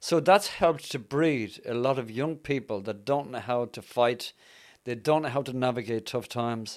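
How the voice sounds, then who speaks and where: On a very clean recording with a silent background, a speaker talks at a moderate pace with a Dublin accent. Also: man, medium pitch for a man, ordinary pitch variation. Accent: Irish (Dublin). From Dublin, Ireland. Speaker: evangelist. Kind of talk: testimony and conversational interview.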